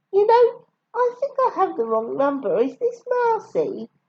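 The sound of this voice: A squeaky, put-on character voice. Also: woman, extremely high pitch for a woman, moderate pace.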